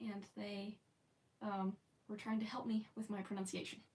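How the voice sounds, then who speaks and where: Somewhat breathy, a woman speaks at a fairly high pitch with a General American accent. Her pace is fairly slow and her intonation monotone and flat. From United States. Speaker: live streamer. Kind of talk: casual chat. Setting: live stream.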